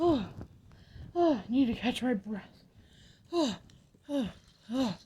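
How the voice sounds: Speaking at a fairly slow pace, a female-sounding put-on character voice sits high in pitch.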